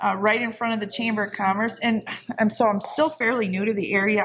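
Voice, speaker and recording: This woman speaks at a fairly quick pace at medium pitch, in an ordinary speaking voice. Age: 60s. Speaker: veterans post commander. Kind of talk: casual interview chat. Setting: in person at a veterans post.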